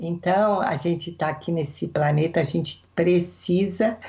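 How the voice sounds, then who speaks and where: A somewhat breathy woman's voice, fairly low in pitch, at a very slow pace. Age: 60s. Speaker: therapist. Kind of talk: interview.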